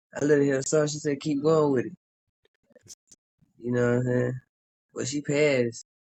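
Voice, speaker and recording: At a moderate pace, a man with a fairly high pitch and a slight Southern accent speaks with fairly even intonation. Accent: Southern, slight country. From South Carolina. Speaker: southern soul singer. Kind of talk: casual interview. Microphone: signal keeps cutting in and out.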